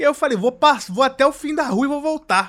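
A man speaks at a fairly quick pace in a raised, projected voice. His tone is bright and sharp, with ordinary pitch variation. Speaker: podcast host. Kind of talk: casual chat.

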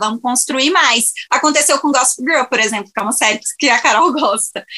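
A woman talks in a raised, projected voice. Her pitch is high, with ordinary variation. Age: 20s. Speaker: podcast guest, series fan. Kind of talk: casual chat.

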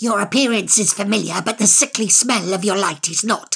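A put-on character voice with a fairly high pitch. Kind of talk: audiobook character voice. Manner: manic, rambling, spiteful, insulting, repeating itself; sly, mocking.

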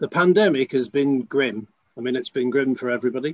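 A man speaks at a fairly quick pace in a normal speaking voice, with a dry, close sound and no echo. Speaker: school trust chief executive. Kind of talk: panel discussion. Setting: remote, on the line.

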